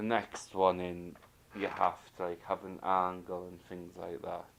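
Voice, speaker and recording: A man with a very deep, low voice, at a very slow pace. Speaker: knitting video host. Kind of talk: casual video chat. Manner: halting.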